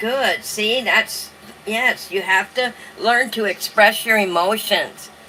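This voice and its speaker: Against noticeable background noise, a woman speaks at a fairly slow pace in a fairly high pitch with ordinary pitch variation. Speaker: online journaling host. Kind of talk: live stream talk reading from notes. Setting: live stream with light background music. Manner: sounds like reading aloud.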